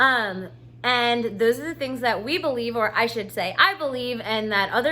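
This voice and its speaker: A woman's fairly high voice carries a bright, sharp tone with ordinary pitch variation. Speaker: self-help coach. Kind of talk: casual talk to camera. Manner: casual with many fillers.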